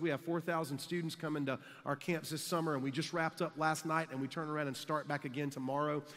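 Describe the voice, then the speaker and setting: A man at a very fast pace, monotone and flat in intonation, against a quiet background. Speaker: conference speaker. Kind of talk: sermon. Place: hall. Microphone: headset.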